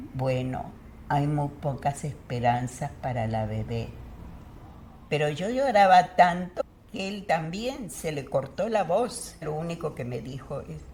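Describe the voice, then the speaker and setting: Speaking at a very slow pace, a woman uses lively intonation in a very deep, low voice. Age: 90s. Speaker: retired educator. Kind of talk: interview answer.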